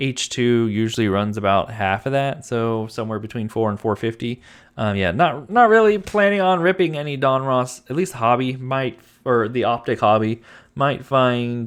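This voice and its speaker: A man with a medium pitch talks at a moderate pace with lively intonation, recorded very cleanly against a silent background. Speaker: trading card channel host. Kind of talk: casual product rundown. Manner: halting.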